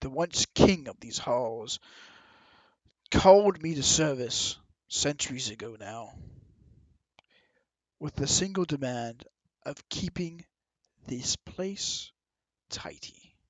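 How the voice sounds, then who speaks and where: A put-on character voice from a man, fairly high-pitched, at a fairly slow pace with long, frequent pauses. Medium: actual play. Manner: guarded, measured, weary.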